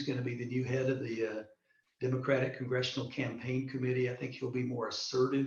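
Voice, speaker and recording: Talking very fast with a somewhat breathy sound, a man's medium-pitched voice carries audible room echo. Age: 60s. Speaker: political candidate and retired military officer. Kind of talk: online interview. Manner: hesitant, many fillers and repetitions.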